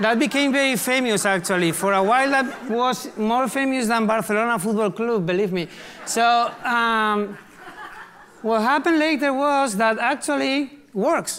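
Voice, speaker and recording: A man talks at a moderate pace with an extremely high pitch and ordinary pitch variation. His loudness stays very even over noticeable background noise. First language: Spanish. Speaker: artist and activist. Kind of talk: conference talk. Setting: live stage, large hall. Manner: casual, humorous.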